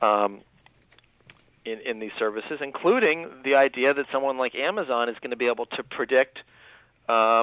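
A man speaks in a normal speaking voice at medium pitch. He goes at a fairly quick pace with ordinary pitch variation. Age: 30s. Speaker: author. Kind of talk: radio interview.

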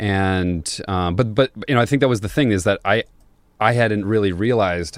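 A man talks at a moderate pace in a very clean recording where the background is silent. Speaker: brewer. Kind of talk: casual interview chat. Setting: studio.

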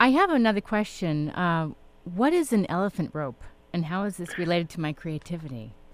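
A woman with a plain, everyday voice, fairly low pitch and lively intonation, at a fairly quick pace. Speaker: radio host. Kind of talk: radio interview. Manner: warm, conversational.

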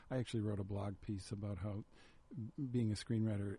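Speaking at a fairly quick pace, a man with an American accent has a fairly low pitch, a dark, mellow tone, a somewhat breathy quality and fairly even intonation. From Chicago, South Side. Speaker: screenwriter. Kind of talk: casual chat. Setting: radio studio.

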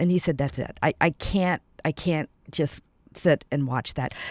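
A woman with an American accent speaks at a moderate pace in a very deep, low pitch with vocal fry and ordinary pitch variation, on a very clean recording with a silent background. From US South (Atlanta). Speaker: nonprofit founder. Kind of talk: radio interview. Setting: studio.

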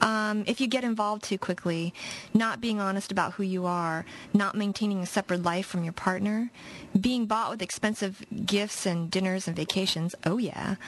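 A woman with a somewhat breathy voice of medium pitch speaks at a moderate pace with fairly even intonation. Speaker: radio co-host. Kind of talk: casual chat. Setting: radio studio, live broadcast.

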